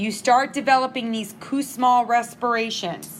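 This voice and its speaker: Her intonation fairly even, a woman with an unremarkable speaking voice talks at a fairly high pitch. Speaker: nursing instructor. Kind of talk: lecture.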